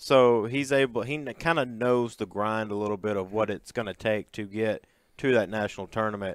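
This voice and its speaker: Fairly even in intonation, an ordinary speaking voice keeps a fairly quick pace. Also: man, fairly low pitch for a man. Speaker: sports podcast co-host. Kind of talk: sports podcast chat.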